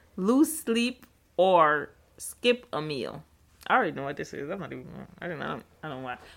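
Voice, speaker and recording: A woman with vocal fry and a fairly low pitch speaks at a moderate pace with long, frequent pauses. Her pitch swings very widely and her loudness shifts a lot. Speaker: podcast host. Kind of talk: casual chat.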